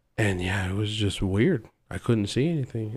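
Here a man uses an unremarkable speaking voice, pitched fairly low, with ordinary pitch variation. He keeps a moderate pace on a very clean recording with a silent background. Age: young. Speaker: machinist. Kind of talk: casual chat.

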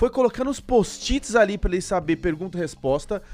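A man talks at a very fast pace with very wide pitch swings. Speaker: podcast host. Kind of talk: casual interview chat. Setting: studio.

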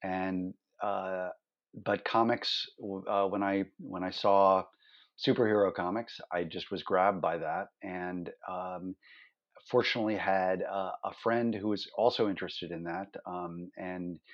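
Slow-paced and flat, a man with an American accent speaks in a very deep, low voice with monotone intonation. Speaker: illustrator and comics artist. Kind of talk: interview conversation. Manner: halting, many fillers.

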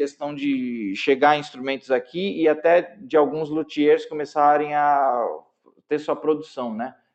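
Speaking very slowly, a man with a fairly high-pitched voice shows ordinary pitch variation. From São Paulo, Brazil. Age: 40s. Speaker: jazz guitarist. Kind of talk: casual interview.

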